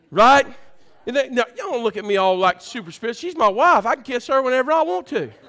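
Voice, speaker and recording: A man's raised, projected voice at an extremely high pitch, animated and bright and sharp in tone, with lively intonation and a fairly quick pace. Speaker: preacher. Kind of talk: sermon. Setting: church. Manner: excited, loud; animated, exhorting the congregation.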